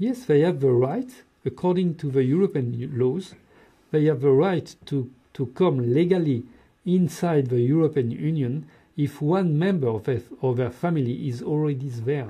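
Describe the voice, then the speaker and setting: In a French accent, a man speaks at a fairly high pitch, somewhat breathy, with ordinary pitch variation. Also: moderate pace. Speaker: political commentator. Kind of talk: TV interview. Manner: halting.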